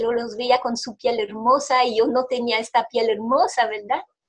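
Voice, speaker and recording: A woman's high-pitched voice. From Belgium. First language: French (speaking Spanish). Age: 40s. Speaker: interviewee sharing health testimony. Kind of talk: testimony. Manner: halting, with repetitions.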